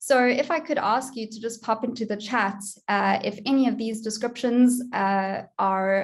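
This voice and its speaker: A woman's fairly high voice with a South African accent, at a moderate pace. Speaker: online education consultant, conference speaker. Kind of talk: conference presentation.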